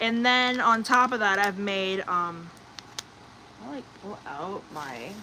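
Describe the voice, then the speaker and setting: Noticeable background noise sits under a woman's voice. Her pitch is medium and her intonation lively. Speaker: livestreamer. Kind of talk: casual chat. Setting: livestream. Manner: loud; hesitant, many fillers.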